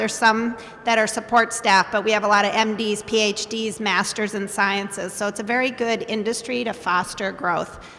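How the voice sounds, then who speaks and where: There is noticeable background noise. A woman speaks at a moderate pace in a fairly high voice. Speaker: biotech company CEO. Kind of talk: panel discussion. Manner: loud.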